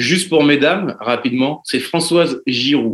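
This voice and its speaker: Fairly high in pitch with ordinary pitch variation, a man talks in an unremarkable speaking voice. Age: 30s. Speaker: podcast guest. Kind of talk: casual chat.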